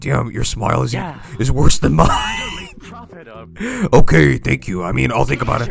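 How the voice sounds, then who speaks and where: A put-on character voice, gravelly and rumbling, moves at a moderate pace with faint music in the background. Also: man. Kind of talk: impression of a film monster voice. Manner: playful, sardonic.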